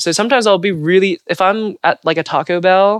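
In an American accent, a woman speaks at a fairly quick pace with a fairly low pitch, ordinary pitch variation and a clear, smooth tone.

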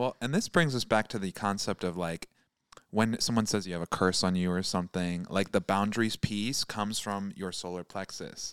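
With an American accent, a man with an unremarkable speaking voice and fairly low pitch talks with ordinary pitch variation in a dry, close sound with no echo. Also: moderate pace. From Michigan. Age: 20s. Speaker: tarot reader. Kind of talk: tarot reading.

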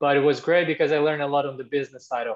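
A man speaks with a Portuguese accent. His intonation stays fairly even. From Brazil. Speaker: former tennis tour supervisor, tech company employee. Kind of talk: casual interview.

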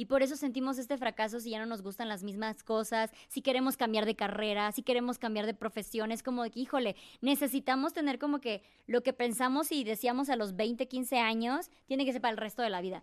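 High-pitched and with ordinary pitch variation, a woman talks at a fairly quick pace with hardly any pauses. The sound is dry and close with no echo, over a quiet background. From Mexico, Chiapas. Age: 30s. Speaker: content creator and traveler. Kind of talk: interview, personal story.

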